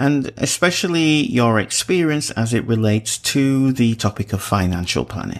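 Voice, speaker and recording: Lively intonation runs through this man's speech. He keeps to a fairly slow pace. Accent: English. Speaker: radio talk show host. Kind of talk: radio interview.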